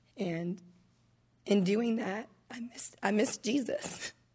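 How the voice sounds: A woman's slow, raspy voice at a medium pitch, with a slightly husky edge, a nervous tone, a dark, mellow tone and ordinary pitch variation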